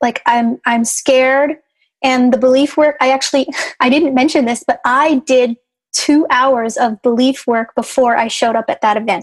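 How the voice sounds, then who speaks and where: Speaking at a moderate pace, a woman with an American accent and a high pitch keeps fairly even intonation and very even loudness in a dry, close sound with no echo. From Chicago. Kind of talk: casual interview chat.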